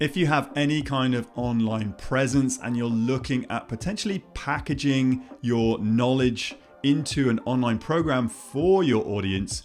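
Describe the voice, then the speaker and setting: Over music in the background, a man at medium pitch talks at a fairly slow pace with hardly any pauses and ordinary pitch variation. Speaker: online course coach, interviewer. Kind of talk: video intro to camera.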